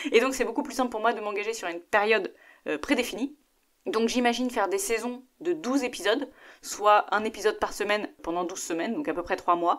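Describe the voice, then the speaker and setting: A plain, everyday voice: a woman at a fairly quick pace, fairly high in pitch, with lively intonation. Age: 30s. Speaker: podcast host. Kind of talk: solo podcast monologue.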